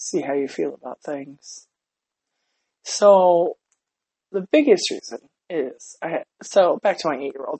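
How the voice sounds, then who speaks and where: Fairly slow speech from a woman at a medium pitch. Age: 30s. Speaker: podcast host, parent. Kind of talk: casual monologue.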